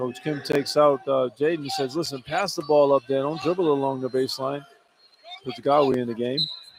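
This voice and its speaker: A man's fairly high-pitched, fairly quick delivery, fairly even in intonation, an unremarkable speaking voice. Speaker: radio color analyst. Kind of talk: live radio color commentary, conversational.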